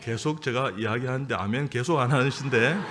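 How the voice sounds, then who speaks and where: Audible room echo surrounds a man speaking at a moderate pace and medium pitch, his tone bright and sharp. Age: 60s. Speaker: surgeon and church elder. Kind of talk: sermon. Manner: halting, many fillers.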